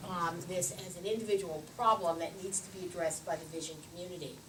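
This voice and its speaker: With an American accent, a woman speaks at a fairly quick pace with fairly even intonation, amid audible room echo and noticeable background noise. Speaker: ophthalmologist and dry eye researcher. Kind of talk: conference lecture. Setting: podium at conference meeting. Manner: loud; hesitant with frequent fillers.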